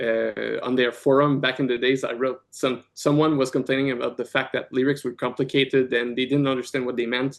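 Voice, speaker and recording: A man at a medium pitch speaks in a monotone, flat intonation. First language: French. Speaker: rock band guitarist and vocalist. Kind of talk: casual podcast interview. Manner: halting, many fillers and repeats.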